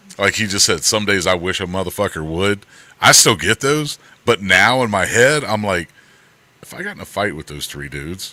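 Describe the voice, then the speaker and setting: A man with a fairly low pitch, lively intonation and big swings in loudness, at a moderate pace, over noticeable background noise. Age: 60s. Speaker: stream co-host, former Marine. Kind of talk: casual chat.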